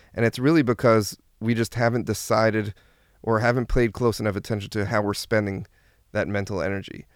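Very fast and with fairly even intonation, a man with an American accent speaks at medium pitch on a very clean recording with a silent background. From US Northeast (New Jersey). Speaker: therapist and brand strategist. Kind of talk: interview. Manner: frequent fillers and hesitations.

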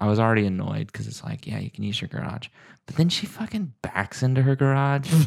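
On a very clean recording with a silent background, a man speaks quietly with lively intonation. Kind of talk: casual chat. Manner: talking quietly.

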